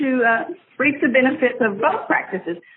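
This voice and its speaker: Fairly quick pace and very wide pitch swings amid noticeable background noise. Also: woman. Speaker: yoga instructor. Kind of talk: interview.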